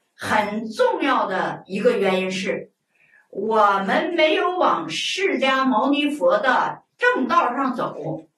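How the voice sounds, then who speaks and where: A woman talks at a very slow pace, her pitch high and swinging very widely. Room echo is audible over a quiet background. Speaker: Buddhist lay teacher. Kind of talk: lecture. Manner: colloquial, conversational asides. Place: studio.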